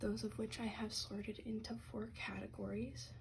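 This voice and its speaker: The speaker is soft-spoken and calm. Delivery comes at a very slow pace. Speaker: ASMR content creator and card collector. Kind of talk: ASMR show and tell, soft-spoken talk to camera about trading cards. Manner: soft-spoken, calm.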